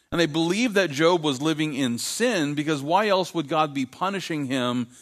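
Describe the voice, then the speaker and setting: With lively intonation and a fairly high pitch, a man with an unremarkable speaking voice talks at a moderate pace in a very clean recording with a silent background. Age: 50s. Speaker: pastor. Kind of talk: sermon.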